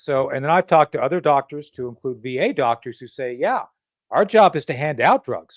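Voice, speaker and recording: A man with a plain, everyday voice and fairly high pitch talks at a fairly quick pace with lively intonation. His loudness swings a lot, and the sound is dry and close with no echo. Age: 60s. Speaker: political talk show host. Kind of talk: podcast interview.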